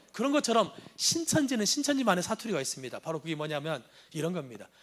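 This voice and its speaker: A high-pitched man at a very fast pace, with very wide pitch swings and a slight Jeolla accent. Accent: slight Jeolla intonation. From Jeolla province, South Korea. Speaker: anti-cult lecturer, former cult member. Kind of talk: lecture.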